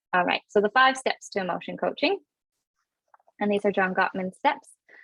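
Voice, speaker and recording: This is a woman speaking. She has a Canadian accent. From Canada. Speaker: parenting coach. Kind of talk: webinar presentation. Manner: halting with many fillers.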